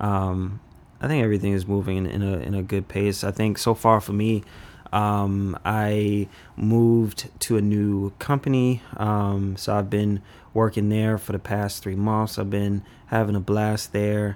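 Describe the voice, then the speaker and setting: A man with an American accent talks at a fairly slow pace. His voice is fairly low and his intonation is monotone and flat. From Washington DC. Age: 20s. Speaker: young professional. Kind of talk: casual chat.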